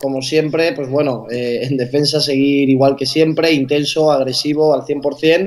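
At a fairly slow pace and fairly high pitch, a man speaks in a monotone, flat intonation with hardly any pauses. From Gandia, Valencia region, Spain; Valencia region, Spain. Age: 20s. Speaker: basketball player; guest. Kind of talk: interview. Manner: talkative. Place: home room. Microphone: video call.

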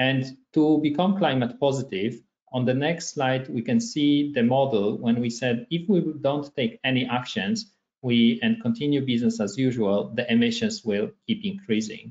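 Pitch swinging very widely, a man talks at a moderate pace. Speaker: presenter. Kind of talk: webinar presentation. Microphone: webcam.

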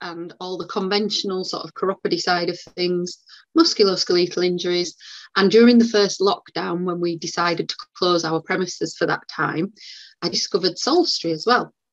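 A woman speaks with a northern English accent at a medium pitch. Her intonation stays fairly even against a quiet background. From West Yorkshire, northern England. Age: 40s. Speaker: podiatrist; guest. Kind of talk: live interview. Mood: warm, chatty. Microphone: video call.

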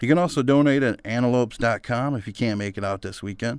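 A man with an unremarkable speaking voice talks at a fairly quick pace, medium in pitch with ordinary pitch variation. The recording is very clean, with a silent background. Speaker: student recording a mock radio DJ set. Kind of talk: scripted radio DJ patter with live-read ads, breezy upbeat rock-station banter. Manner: upbeat, hyped-up DJ persona bigging himself up; chatty and folksy, casually pitching sponsors to listeners.

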